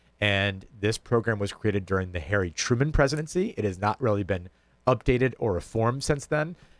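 Fairly quick and lively in intonation, a man speaks with a plain, everyday voice at a fairly low pitch. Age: 30s. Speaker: state official. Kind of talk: radio interview.

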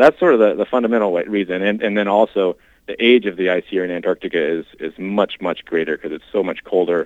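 In an American accent, a man with an unremarkable speaking voice talks at a fairly quick pace with ordinary pitch variation. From Washington State. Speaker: glaciologist and climate scientist. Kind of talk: interview.

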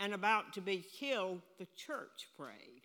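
A woman speaks loudly at a very slow pace, her pitch medium. Her tone is bright and sharp, with ordinary pitch variation. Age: 80s+. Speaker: preacher. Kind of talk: sermon. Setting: church.

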